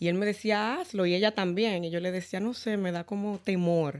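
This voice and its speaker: A woman's normal speaking voice, medium in pitch with ordinary pitch variation, at a fairly slow pace, on a very clean recording with a silent background. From Dominican Republic. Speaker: credit repair specialist. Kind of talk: interview.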